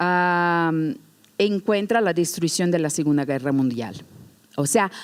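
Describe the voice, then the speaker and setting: A woman with a non-native accent talks at a very slow pace. Her fairly low pitch shows ordinary variation, and her loudness stays very even. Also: very clean recording, silent background. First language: Portuguese (speaking Spanish). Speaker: museum educator. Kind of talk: lecture. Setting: stage with audience. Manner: halting.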